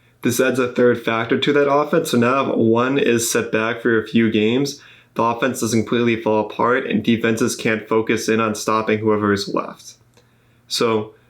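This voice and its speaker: Speaking at a moderate pace, a man with a medium-pitched voice is heard over a quiet background. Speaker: podcast host. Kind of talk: podcast talk. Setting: studio. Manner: monotone.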